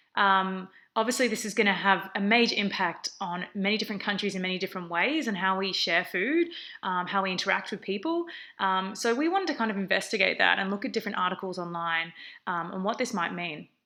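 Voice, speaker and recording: A woman with an Australian accent speaks very fast in a bright, sharp tone with ordinary pitch variation. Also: medium pitch for a woman. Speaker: research assistant. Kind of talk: conference presentation. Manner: frequent fillers (um).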